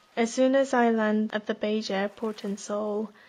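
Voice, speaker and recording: A woman with a Korean accent at a moderate pace. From South Korea, then international school in Thailand. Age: 20s. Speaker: personal essayist. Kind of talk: reading aloud a personal essay.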